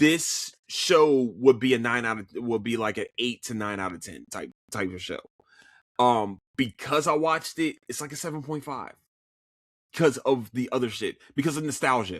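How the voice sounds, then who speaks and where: In an American accent, the speaker talks at a moderate pace with an animated tone and big swings in loudness on a very clean recording with a silent background. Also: man, medium pitch for a man, lively intonation. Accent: Philadelphia accent, comes and goes. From US, Philadelphia. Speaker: podcaster reviewing TV shows. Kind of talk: casual solo podcast talk. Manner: animated, repetitive stammering.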